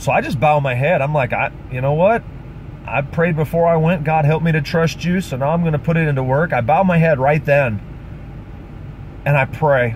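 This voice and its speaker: A man talks at a fairly high pitch while noticeable background noise runs underneath. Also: ordinary pitch variation, moderate pace. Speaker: pastor and street preacher. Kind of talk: testimony. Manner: animated.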